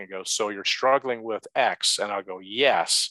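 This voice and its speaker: A man with an unremarkable speaking voice talks at a moderate pace in a fairly low pitch. The sound is dry and close with no echo, and his pitch varies in an ordinary way. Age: 50s. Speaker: retired businessman and novelist. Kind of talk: interview.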